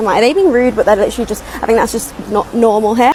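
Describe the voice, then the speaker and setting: A woman with a fairly high pitch talks at a very fast pace over noticeable background noise. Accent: British. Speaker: content creator. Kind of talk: casual vlog.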